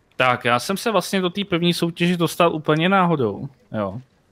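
The speaker is a man. He talks at a moderate pace. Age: 30s. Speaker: streamer. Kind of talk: casual chat. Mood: relaxed, anecdotal. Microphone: headset.

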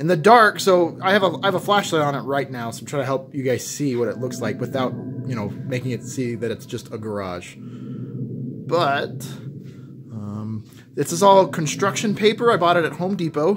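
Noticeable noise sits in the background. Over it, a man speaks at a moderate pace. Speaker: haunt creator giving a tour. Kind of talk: casual tour commentary. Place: garage. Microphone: phone near.

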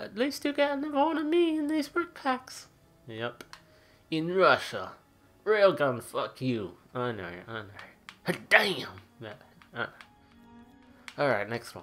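Over music in the background, a woman speaks at a very slow pace with long, frequent pauses and big swings in loudness. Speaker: gaming YouTuber. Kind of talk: gameplay commentary. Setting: at home. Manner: subdued, not talkative.

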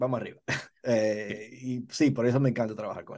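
The background stays quiet. Speaking very fast, a man lets his pitch vary in an ordinary way. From Dominican Republic. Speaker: TV director. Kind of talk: interview. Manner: halting, many fillers. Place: home room. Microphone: video call.

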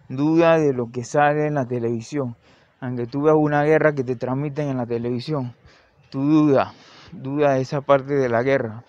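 Speaking at a moderate pace, a man with a plain, everyday voice keeps a fairly high pitch and fairly even intonation. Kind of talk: improvised opinion monologue.

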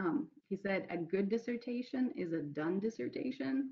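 A woman speaks at a moderate pace in a somewhat breathy voice, her pitch swinging very widely against a quiet background. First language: not English. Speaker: clinical psychologist; panelist. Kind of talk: panel Q&A. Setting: video call. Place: home room. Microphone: video call.

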